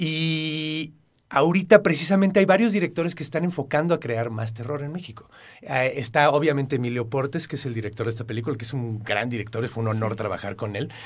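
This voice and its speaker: Fairly high-pitched and somewhat breathy, a man speaks at a fairly quick pace with lively intonation. The recording is very clean, with a silent background. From Mexico, part of childhood in El Paso, Texas. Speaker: actor. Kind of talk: interview.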